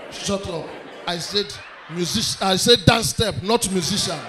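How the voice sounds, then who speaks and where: A man's raised, projected voice against light background noise. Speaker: stand-up comedian. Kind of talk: stand-up comedy routine. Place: stage. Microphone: handheld.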